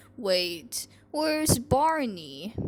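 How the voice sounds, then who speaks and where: A woman puts on a character voice at a fairly high pitch. Her pitch swings very widely. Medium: solo performance. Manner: excitable.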